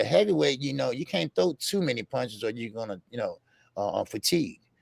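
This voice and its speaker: On a very clean recording with a silent background, a man speaks with a dry, close sound with no echo. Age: 50s. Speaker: boxing commentator. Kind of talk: casual chat. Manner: halting.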